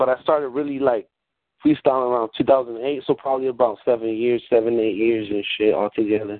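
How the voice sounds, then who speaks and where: At a fairly quick pace, a man gets his words out. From California (Watsonville), born in Mexico. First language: Spanish. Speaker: rapper and battle rapper. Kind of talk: casual interview.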